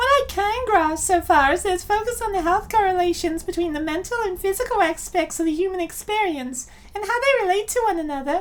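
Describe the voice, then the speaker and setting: A man performs a squeaky, put-on character voice at an extremely high pitch. Light background noise is present. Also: fairly quick pace. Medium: fan dub.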